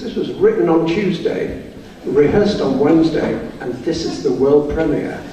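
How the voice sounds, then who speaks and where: A man talks at a fairly slow pace, with audible room echo and noticeable background noise. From Scotland. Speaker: band leader and composer. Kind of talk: concert introduction. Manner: jokey, relaxed.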